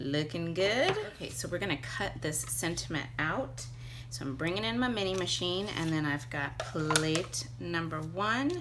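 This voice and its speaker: Audible room echo and noticeable background noise surround a woman talking fairly slowly. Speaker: papercraft tutorial host. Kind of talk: tutorial. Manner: animated.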